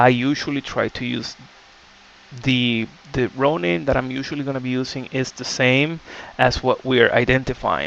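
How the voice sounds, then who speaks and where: Speaking with a non-native accent, a man keeps a moderate pace, a medium pitch and fairly even intonation. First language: not English. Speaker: game development tutorial creator. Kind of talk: tutorial. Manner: casual, many filler words.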